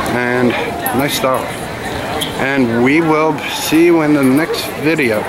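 Against crowd noise in the background, the speaker goes at a very slow pace. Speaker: vlogger filming the market. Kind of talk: casual vlog chat. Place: market. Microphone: phone near.

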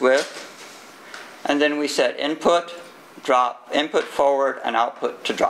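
Speaking with an American accent and a fairly high pitch, a man keeps a moderate pace and fairly even intonation, with long, frequent pauses and light background noise. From Texas. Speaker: IT security engineer; conference presenter. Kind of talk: conference talk. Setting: stage with audience. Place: meeting room.

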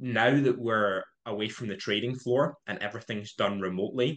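A man's medium-pitched voice moves at a moderate pace, its pitch varying in an ordinary way. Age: 20s. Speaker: trader and trading educator; trading educator. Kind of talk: podcast interview. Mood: relaxed, friendly. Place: home room. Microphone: webcam.

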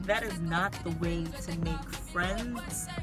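A woman is heard with clear music in the background. The sound is dry, with no echo. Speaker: college student vlogger. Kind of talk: casual vlog chat. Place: car.

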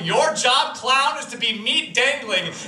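Audible room echo and light background noise accompany the recording. A man speaks at a moderate speed. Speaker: slam poet. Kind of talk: slam poetry performance. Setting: live stage. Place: stage.

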